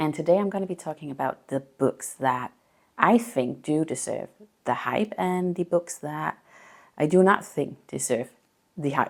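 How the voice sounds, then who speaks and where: A woman with a very deep, low pitch delivers her words at a moderate pace. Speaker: book reviewer. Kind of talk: casual talk to camera.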